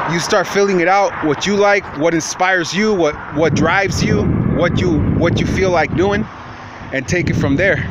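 A man's fairly quick speech comes through loud background noise, the sound dry with no echo. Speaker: vlogger. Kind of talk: casual vlog chat, advice. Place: street. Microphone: phone near.

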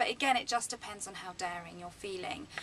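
Light noise sits in the background. Over it, a woman talks. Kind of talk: tutorial. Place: office. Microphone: phone near.

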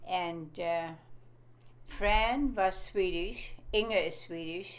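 A woman is talking. Her pace is very slow. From Germany. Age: 90s. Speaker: grandmother interviewee; interviewee. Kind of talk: casual chat. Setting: recorded interview at home. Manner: halting. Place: home room. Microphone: phone near.

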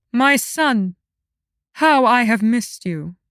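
A woman puts on a character voice with lively intonation at a fairly slow pace. The recording is very clean with a silent background and a dry, close sound with no echo. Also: fairly high pitch for a woman. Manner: icy, regal, falsely warm.

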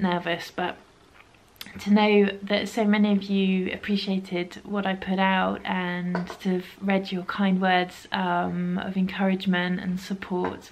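Over light background noise, a woman speaks at a fairly slow pace with monotone, flat intonation. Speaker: knitting podcaster. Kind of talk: casual vlog chat. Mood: warm, grateful. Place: home room.

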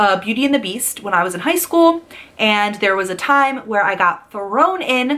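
A woman speaks with a bright, sharp tone. Her intonation is lively and her pace moderate. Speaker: vlogger sharing application tips. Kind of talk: casual vlog chat. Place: home room. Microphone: phone near.

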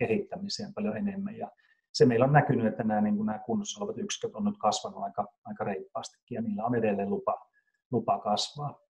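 A somewhat breathy man's voice, dark and mellow in tone, with very wide pitch swings. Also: quiet background. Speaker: company CEO. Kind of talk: business interview. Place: home room. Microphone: video call.

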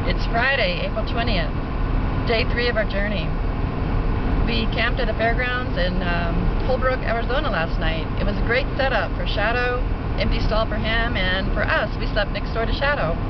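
Loud background noise fills the clip. There is no echo, so the sound stays dry. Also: woman, moderate pace. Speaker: traveler vlogger. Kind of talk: casual vlog chat. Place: car. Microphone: phone near.

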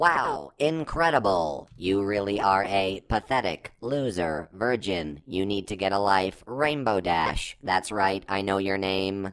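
Using a cartoonish character voice, a man speaks fairly low and at a fairly slow pace. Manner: flat, mocking, sinister.

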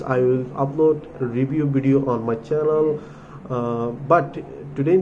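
Audible room echo surrounds a man's dark, mellow tone, which shows ordinary pitch variation.

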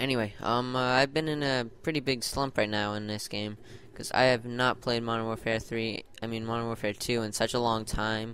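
A man talks at a fairly quick pace with hardly any pauses, his bright, sharp tone carrying fairly even intonation. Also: medium pitch for a man. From Ireland. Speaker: gaming YouTuber. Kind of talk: gameplay commentary. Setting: gaming headset. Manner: hesitant, many ums.

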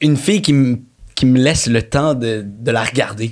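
Against a quiet background, a man speaks very slowly with ordinary pitch variation. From Quebec, Montreal. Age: 30s. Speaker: actor. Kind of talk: casual chat. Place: studio. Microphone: studio mic.

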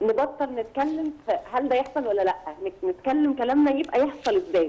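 Pitch swings very widely in a dark, mellow tone. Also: woman. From Egypt. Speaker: journalist. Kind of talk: TV interview. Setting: phone call.

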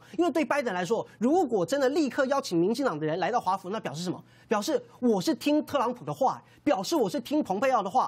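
A man races along at a very fast pace, his high voice making very wide pitch swings. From Taiwan. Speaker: city councillor. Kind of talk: TV political panel talk. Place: studio.

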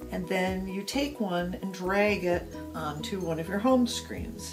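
Music plays in the background. A woman is speaking over it. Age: 50s. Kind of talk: tutorial narration.

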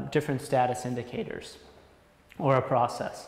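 A man's voice carries audible room echo. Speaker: sales engineer. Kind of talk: product demo explanation. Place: empty room.

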